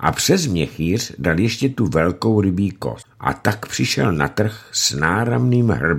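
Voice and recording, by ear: A natural voice reading aloud, with lively intonation.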